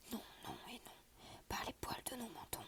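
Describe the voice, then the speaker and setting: Whispering at a fairly slow pace. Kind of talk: whispered story reading for ASMR. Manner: whispered.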